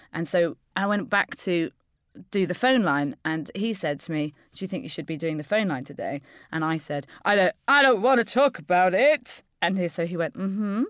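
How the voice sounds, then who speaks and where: On a very clean recording with a silent background, a woman speaks at a moderate pace, her pitch swinging very widely. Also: medium pitch for a woman, dry, close sound with no echo. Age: 30s. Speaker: comedian and improviser. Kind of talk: casual chat.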